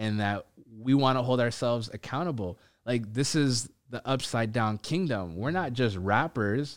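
In a plain, everyday voice, a man speaks with an American accent at a medium pitch. His moderate pace and ordinary pitch variation come through on a very clean recording with a silent background. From Ethiopian community, Minnesota. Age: 30s. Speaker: podcast host. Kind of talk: casual chat.

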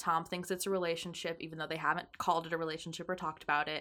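A woman's normal speaking voice, fairly low in pitch, with fairly even intonation. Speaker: podcast co-host and artist. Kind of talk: casual chat.

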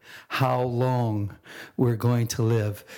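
A man speaks with a dark, mellow tone. The recording is very clean, with a silent background. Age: 60s. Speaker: podcast host. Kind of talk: podcast monologue on quotes.

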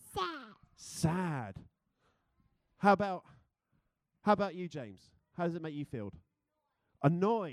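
With a British accent, a high-voiced man speaks at a moderate pace with lively intonation over a quiet background. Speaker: church speaker. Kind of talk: sermon. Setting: church with congregation. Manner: informal, humorous.

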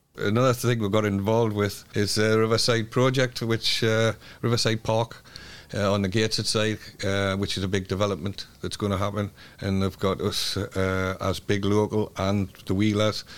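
Monotone, flat delivery at a moderate pace, in a Geordie accent. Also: man, fairly low pitch for a man. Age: 70s. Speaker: community group chair and cycling club leader. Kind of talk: interview.

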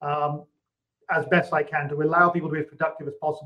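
A man with a British accent. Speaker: technology company CEO. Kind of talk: interview.

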